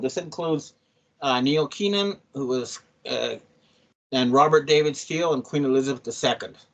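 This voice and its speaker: This man has an ordinary speaking voice, fairly high in pitch, moving at a fairly quick pace with ordinary pitch variation. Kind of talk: urgent personal video statement.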